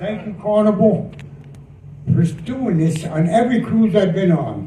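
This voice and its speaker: A man at a fairly slow pace with ordinary pitch variation, audible room echo and noticeable background noise. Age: 70s. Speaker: war veteran. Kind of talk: speech.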